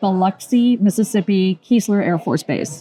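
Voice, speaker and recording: Music plays in the background while a woman speaks at medium pitch with ordinary pitch variation, in a dry, close sound with no echo. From Germany. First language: German. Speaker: interior designer. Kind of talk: oral history interview.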